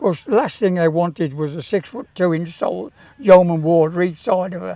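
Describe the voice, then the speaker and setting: The speaker talks at a moderate pace in a British accent. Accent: British English, casual spoken. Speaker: town crier, former Yeoman Warder and sergeant major. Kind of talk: interview answer, anecdote about meeting the Queen.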